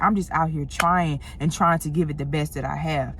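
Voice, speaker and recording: A woman speaks very fast in a St. Louis accent. Her pitch variation is ordinary. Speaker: motivational content creator. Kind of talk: motivational talk to camera. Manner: casual, conversational.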